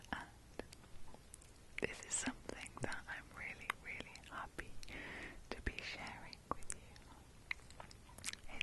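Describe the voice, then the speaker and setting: A woman whispers at a very slow pace, leaving long, frequent pauses. Noticeable background noise runs underneath. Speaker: ASMR creator. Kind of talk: casual talk to camera, ASMR intro. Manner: whispered, soft-spoken, relaxing.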